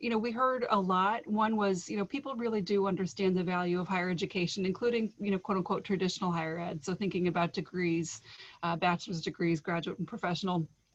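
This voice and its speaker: Speaking at a very fast pace with hardly any pauses, a woman uses a medium pitch, ordinary pitch variation and a somewhat breathy voice. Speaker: state higher education official. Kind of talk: presentation.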